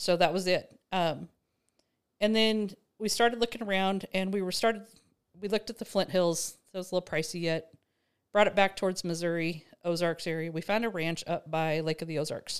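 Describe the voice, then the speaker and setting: A woman with an American accent speaks in a plain, everyday voice at medium pitch, with fairly even intonation and a fairly quick pace. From Nebraska. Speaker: rancher and farm-stay host. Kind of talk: casual conversation. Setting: in person at a farm.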